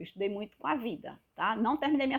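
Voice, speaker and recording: Speaking with a northeastern Brazilian accent, a woman keeps a fairly high pitch with ordinary pitch variation. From Northeast Brazil, Pernambuco. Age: 50s. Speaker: health vlogger. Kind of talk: casual vlog monologue. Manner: animated.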